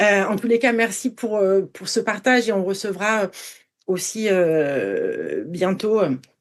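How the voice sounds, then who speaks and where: Speaking at a very slow pace, this woman uses a medium pitch and ordinary pitch variation. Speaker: podcast host. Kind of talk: interview. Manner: halting, stammering.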